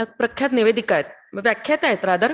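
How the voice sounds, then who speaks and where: Her intonation lively, a woman speaks. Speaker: radio announcer. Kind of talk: training lecture.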